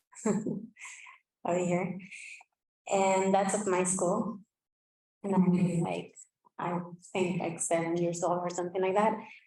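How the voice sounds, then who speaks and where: A woman's very slow, monotone, flat delivery full of long, frequent pauses, with audible room echo. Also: medium pitch for a woman. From Basque Country, northern Spain. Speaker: language revitalization speaker. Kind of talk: conference presentation. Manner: halting, many fillers.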